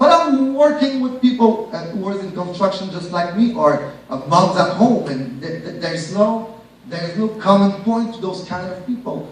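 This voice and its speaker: A man's high-pitched, animated voice with very wide pitch swings at a moderate pace, with audible room echo and noticeable background noise. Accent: Quebec. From Quebec (Shawinigan). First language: French. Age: 30s. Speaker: network marketing speaker. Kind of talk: motivational business presentation.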